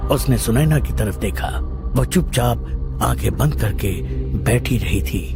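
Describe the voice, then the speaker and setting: A man performs a put-on character voice. Loud music plays in the background. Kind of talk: horror narration. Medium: audio drama.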